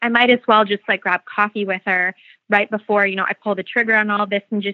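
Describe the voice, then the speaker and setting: Speaking at a fairly quick pace, a woman has an unremarkable speaking voice pitched fairly high. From Phoenix, Arizona. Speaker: beauty brand founder. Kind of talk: interview.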